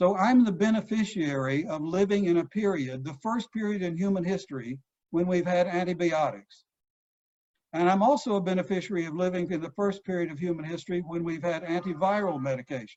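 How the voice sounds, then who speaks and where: A high-pitched man with a Texan accent at a fairly quick pace. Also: ordinary pitch variation. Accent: Texan American. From Texas. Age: 70s. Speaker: psychoanalyst. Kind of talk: lecture. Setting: video call.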